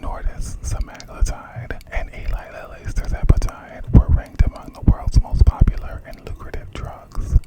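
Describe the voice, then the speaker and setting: A moderate-speed whisper against noticeable background noise. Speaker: ASMR creator. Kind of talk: reading aloud. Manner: whispering.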